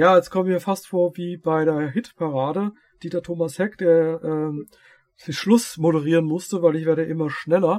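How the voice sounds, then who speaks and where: A man talks at a moderate pace in a high voice. His intonation stays fairly even. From Hesse, Darmstadt. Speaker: podcast host, energy healer. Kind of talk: casual chat.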